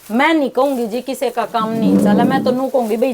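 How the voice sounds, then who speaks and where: Noticeable background noise sits behind a woman's voice. Her pitch is fairly high, with ordinary variation. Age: 60s. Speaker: online clothing seller. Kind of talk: interview.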